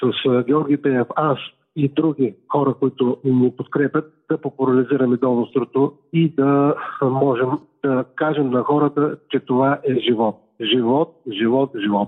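Using an unremarkable speaking voice, a man talks at a fairly slow pace with very even loudness and fairly even intonation. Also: medium pitch for a man. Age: 60s. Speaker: heart transplant recipient athlete. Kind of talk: phone interview.

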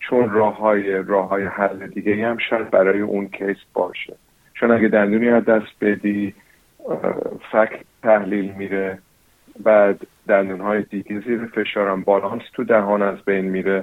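This man's pitch sits fairly low. His intonation is flat and monotone. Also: moderate pace. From New Zealand. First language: English (speaking Persian). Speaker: dentist. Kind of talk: interview. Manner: halting.

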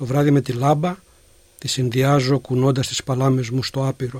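On a very clean recording with a silent background, a man speaks at a medium pitch and a fairly slow pace in a monotone, flat way. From Greece, Peloponnese (Gastouni, Elis). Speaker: poet and philosophy lecturer. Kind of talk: poetry reading. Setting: studio.

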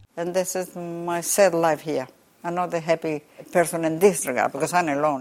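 Speaking at a fairly quick pace, a woman with a fairly low pitch talks in a Spanish accent. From southern Chile. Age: 80s+. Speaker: umbrella maker. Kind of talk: interview. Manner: halting.

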